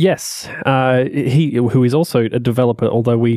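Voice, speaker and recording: With an Australian accent, a man speaks at a medium pitch and fairly even intonation, the sound dry and close with no echo. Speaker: web and iOS developer. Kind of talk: casual chat. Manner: halting.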